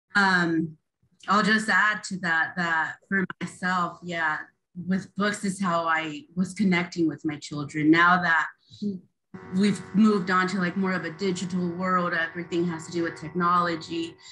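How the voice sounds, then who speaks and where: Over music in the background, a woman with a fairly low pitch speaks at a fairly slow pace in a monotone, flat delivery. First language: Spanish. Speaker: community organizer and parent. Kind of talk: panel discussion. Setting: video call.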